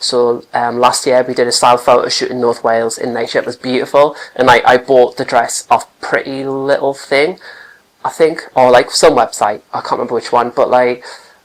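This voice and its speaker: Someone with a Geordie accent speaks at a moderate pace. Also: man. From Newcastle, northern England. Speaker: catwalk participant. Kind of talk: interview. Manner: halting.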